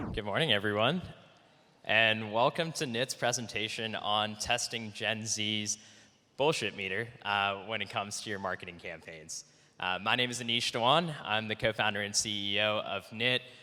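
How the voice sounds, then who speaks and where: In an American accent, a man with an unremarkable speaking voice talks at a fairly low pitch and moderate pace, with ordinary pitch variation. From United States. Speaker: startup co-founder and CEO. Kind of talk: conference presentation. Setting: conference talk. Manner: many fillers (uh, um).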